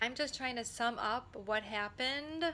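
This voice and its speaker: A woman's voice with a bright, sharp tone. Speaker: former special educator and trauma advocate. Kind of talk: personal testimony to camera. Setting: talking into camera. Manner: deliberately slow.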